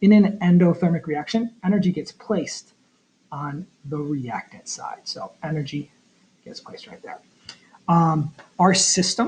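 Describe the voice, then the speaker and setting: Ordinary pitch variation marks delivery that keeps a moderate pace. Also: man. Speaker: chemistry teacher. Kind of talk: tutorial. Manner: halting, many fillers.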